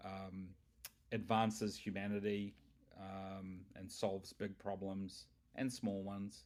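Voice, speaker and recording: At a very slow pace and fairly low pitch, a man speaks in a monotone, flat way, with long, frequent pauses. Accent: New Zealand. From New Zealand. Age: 50s. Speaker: tech company founder. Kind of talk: interview. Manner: halting.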